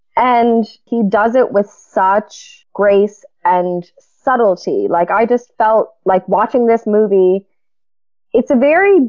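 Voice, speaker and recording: Very slow and very even in loudness, a woman speaks at a fairly high pitch with ordinary pitch variation. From Newfoundland. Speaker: podcast panelist. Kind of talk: panel discussion.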